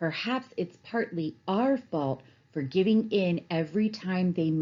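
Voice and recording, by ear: Reading aloud happens in a natural voice whose pitch varies in an ordinary way.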